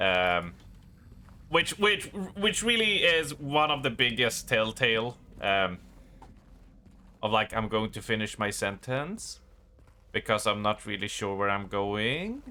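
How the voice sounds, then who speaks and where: Speaking fairly slowly with a slight Swedish accent, a man at medium pitch uses ordinary pitch variation and takes long, frequent pauses. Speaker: game streamer. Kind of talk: casual chat. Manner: halting.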